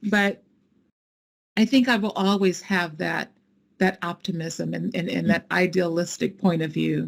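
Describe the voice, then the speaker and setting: A woman speaks at a fairly slow pace in a fairly low voice with vocal fry, ordinary pitch variation, and long, frequent pauses. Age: 60s. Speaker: nonprofit founder. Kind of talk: fireside chat interview.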